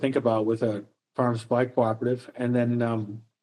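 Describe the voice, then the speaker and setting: Very fast speech comes from a man with an American accent. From US Midwest (Minnesota). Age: 60s. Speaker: professor. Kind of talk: interview. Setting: podcast. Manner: halting, with many fillers and repeats.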